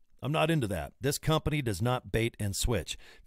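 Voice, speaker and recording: Vocal fry runs through a lively, fairly quick delivery with a dry, echo-free sound and a quiet background. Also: man. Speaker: presenter. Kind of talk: casual sales talk to camera. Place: home room. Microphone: studio mic.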